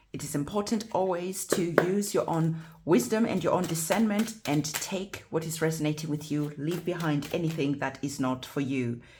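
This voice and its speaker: A woman talks at a moderate pace with ordinary pitch variation and hardly any pauses, against noticeable background noise. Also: fairly low pitch for a woman. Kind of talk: tarot reading. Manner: stuttering.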